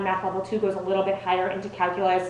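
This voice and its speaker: A woman speaks with audible echo in the room and noticeable noise behind her. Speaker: test prep presenter. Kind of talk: presentation to parents and students. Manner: fast.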